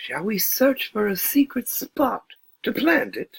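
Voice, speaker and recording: Putting on a character voice with an extremely high pitch, a man talks at a fairly slow pace. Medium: read story. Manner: gentle, slow, wondering.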